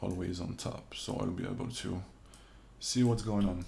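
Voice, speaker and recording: A man with a non-native accent speaks in a fairly low, somewhat breathy voice with a dark, mellow tone. There is audible room echo in the recording. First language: not English. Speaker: 3D modeling instructor / streamer. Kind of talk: livestream tutorial. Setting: livestream from home. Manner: halting. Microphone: reverb issues with streaming audio.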